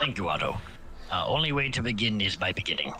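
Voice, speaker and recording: Over clear background music, a man puts on a character voice at a medium pitch and races along at a very fast pace. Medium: actual play. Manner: measured, logical.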